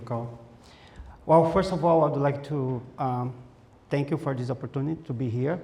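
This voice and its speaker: A man with a strong Brazilian accent, fairly high pitch and a dark, mellow, somewhat breathy tone, at a moderate pace with long, frequent pauses and fairly even intonation. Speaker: conference presenter. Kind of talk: informal presentation, hesitant with fillers.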